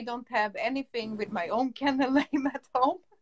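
A woman's high voice with a Swedish accent and ordinary pitch variation. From Stockholm, Sweden. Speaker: dog breeder. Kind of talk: casual interview. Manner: halting.

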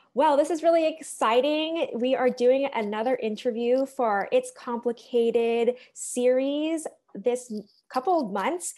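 Speaking with an American accent, a woman uses a high-pitched voice with a dark, mellow tone at a fairly slow pace. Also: ordinary pitch variation, quiet background. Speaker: editor and interviewer. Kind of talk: interview. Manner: upbeat. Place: home room. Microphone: earbuds.

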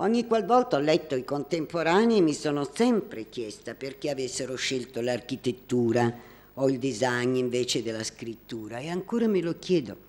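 A woman with a very deep, low pitch speaks at a moderate pace, making very wide pitch swings. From Naples, southern Italy; southern Italy. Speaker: art critic; presenter. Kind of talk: prepared talk, partly read aloud. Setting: hall with live audience. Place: hall.

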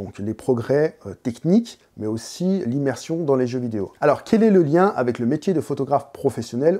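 Against a quiet background, a man with a fairly high, dark and mellow voice speaks at a moderate pace with very wide pitch swings. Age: 30s. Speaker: photography youtuber and teacher; photography youtuber, teacher. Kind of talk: educational monologue; explanatory video talk. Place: home room. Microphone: lapel.

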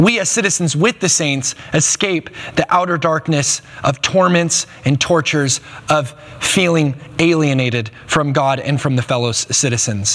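Here a man talks with lively intonation. His pitch is fairly high. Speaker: pastor; preacher. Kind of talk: sermon to a congregation. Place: stage. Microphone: lapel.

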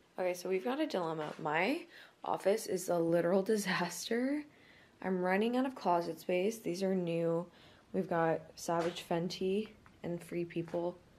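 A woman with a fairly low pitch and ordinary pitch variation talks at a moderate pace over light background noise. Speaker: lifestyle vlogger. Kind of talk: casual vlog chat. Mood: relaxed, later annoyed. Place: home room. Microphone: phone near.

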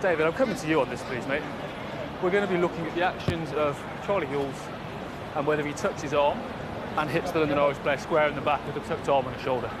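The speech runs at a very fast pace yet has long, frequent pauses. Loud background noise fills the recording. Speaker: match referee / official. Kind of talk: referee review, procedural talk. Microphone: headset.

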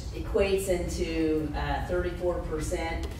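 A man's voice comes with audible room echo and noticeable background noise. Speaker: county coroner giving report. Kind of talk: public meeting report. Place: meeting room.

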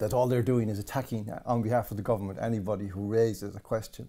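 A man with an Irish accent, medium in pitch, dark and mellow in tone, at a fairly quick pace. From Ireland. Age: 60s. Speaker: political commentator. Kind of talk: interview. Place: home room.

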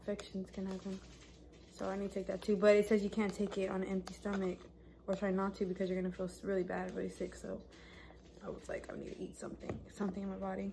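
Light background noise sits behind a woman speaking at a fairly quick pace. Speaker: vlogger. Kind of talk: casual vlog chat. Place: home room. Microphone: phone near.

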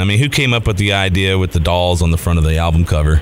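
Speaking at a very fast pace, a man has a very deep, low pitch. There is noticeable background noise. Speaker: radio host. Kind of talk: radio interview. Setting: radio studio.

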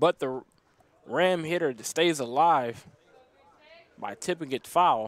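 A man with a fairly high voice speaks at a very slow pace, with ordinary pitch variation and long, frequent pauses. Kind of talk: live baseball play-by-play commentary. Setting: broadcast from ballpark.

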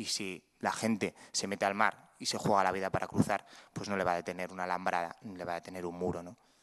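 Against a quiet background, the speech runs at a very fast pace with monotone, flat intonation. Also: man, very deep, low pitch for a man. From Spain, Cantabria. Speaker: photojournalist. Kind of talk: panel talk. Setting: museum talk with audience. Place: hall. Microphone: podium.

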